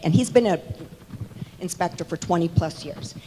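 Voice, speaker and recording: A woman's lively intonation is heard against noticeable background noise. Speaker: homeowner speaking at meeting. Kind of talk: public comment at town hall meeting. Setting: town hall meeting in church hall. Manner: loud.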